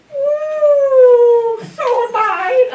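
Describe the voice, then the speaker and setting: A woman puts on a character voice. It is squeaky and pitched extremely high. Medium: stage play. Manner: gushing, exclamatory.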